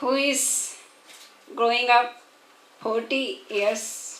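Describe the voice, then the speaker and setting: A woman with an Indian accent speaks at a high pitch with ordinary pitch variation, against noticeable background noise and audible room echo. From India, Chhattisgarh. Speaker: women's organizer. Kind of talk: conference speech. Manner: halting.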